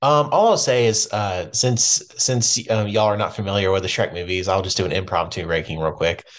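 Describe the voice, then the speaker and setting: A man with a plain, everyday voice talks at a fairly quick pace and fairly low pitch, with ordinary pitch variation and hardly any pauses. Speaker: film podcast guest. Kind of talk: casual chat.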